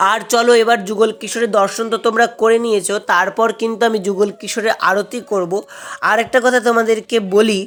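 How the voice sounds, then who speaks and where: Against noticeable background noise, a woman speaks at a fairly high pitch in a monotone, flat intonation. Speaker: devotional vlogger and scripture reciter. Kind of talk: casual vlog narration to viewers.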